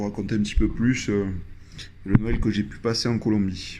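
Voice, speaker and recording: Speaking with a southwestern French accent, a man keeps a fairly low pitch and fairly even intonation. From southwest France, Landes. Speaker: traveler sharing experience. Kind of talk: personal storytelling. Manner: hesitant, many fillers.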